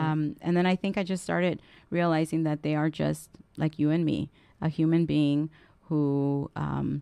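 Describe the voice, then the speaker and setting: A woman with a Spanish accent speaks at a moderate pace in a very deep, low pitch, with a dark, mellow tone, very even loudness, and a monotone, flat intonation, in a dry, close sound with no echo. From Southern California, immigrant from Guatemala at age four. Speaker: political council president and legislative staffer. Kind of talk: radio interview.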